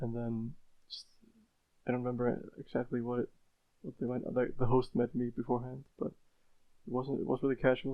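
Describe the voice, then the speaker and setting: A man with an Icelandic accent, medium in pitch, fairly even in intonation and fairly quick in pace. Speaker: speedrunner. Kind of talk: podcast interview. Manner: hesitant, with repetitions.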